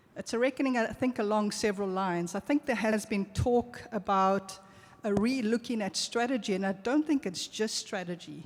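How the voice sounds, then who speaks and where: Noticeable background noise behind a woman's fairly high voice, ordinary pitch variation, and a moderate pace. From South Africa. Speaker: global health researcher, audience commenter. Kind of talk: audience comment at conference Q&A.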